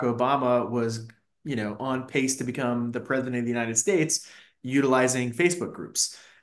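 In an unremarkable speaking voice with an American accent, a man talks at a fairly quick pace, medium pitch and fairly even intonation. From Fairfax County, Virginia (DC suburbs). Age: 40s. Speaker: marketing executive. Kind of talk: interview.

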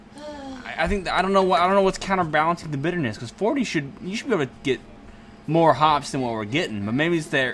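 Over music in the background, a man with a high pitch speaks at a fairly quick pace, his pitch swinging very widely. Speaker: podcast host. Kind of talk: casual interview chat. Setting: in-person interview.

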